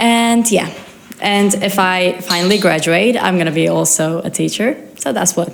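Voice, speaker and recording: A woman's medium-pitched voice over music in the background. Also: ordinary pitch variation, moderate pace. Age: 20s. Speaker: exchange student. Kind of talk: interview.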